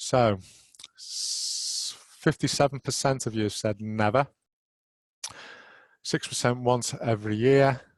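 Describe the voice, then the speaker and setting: A man with a Merseyside accent and medium pitch speaks at a very slow pace with fairly even intonation and long, frequent pauses, in a dry, close sound with no echo. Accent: Merseyside (Scouse). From northern England, Merseyside. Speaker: road risk manager, webinar presenter. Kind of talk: webinar presentation. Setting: online webinar. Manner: hesitant with fillers.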